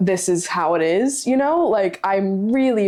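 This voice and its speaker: Ordinary pitch variation in a woman's medium-pitched voice. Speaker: livestreamer. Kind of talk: casual chat. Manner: loud; animated.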